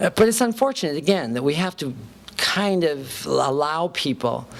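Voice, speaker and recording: Noticeable background noise accompanies a woman whose pitch rises and falls very widely. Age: 50s. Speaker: transgender speaker and educator. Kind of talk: lecture. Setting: university talk with audience. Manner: conversational, some repetitions.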